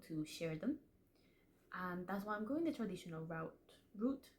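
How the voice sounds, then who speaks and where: This woman's voice sits at a medium pitch. She has a Spanish accent. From Spanish-speaking household. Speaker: aspiring fantasy author, vlogger. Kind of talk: casual vlog talk to camera. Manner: chatty, self-interrupting, repeats words.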